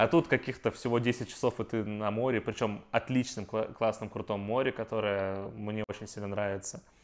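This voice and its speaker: A man with a normal speaking voice and a fairly low pitch talks at a moderate pace with fairly even intonation and hardly any pauses. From Russia. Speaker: IT worker. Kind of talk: casual chat.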